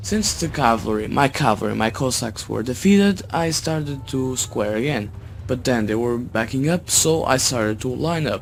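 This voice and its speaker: A man speaks at a moderate pace with hardly any pauses while music plays in the background. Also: medium pitch for a man, lively intonation. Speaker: gaming YouTuber. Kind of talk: gameplay commentary. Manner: halting. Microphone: cheap low-quality microphone.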